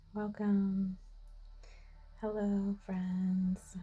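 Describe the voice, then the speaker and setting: Music plays in the background as a soft-spoken woman with medium pitch talks at a very slow pace. Her intonation is monotone and flat. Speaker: spiritual guide / oracle card reader. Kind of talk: oracle card reading to camera.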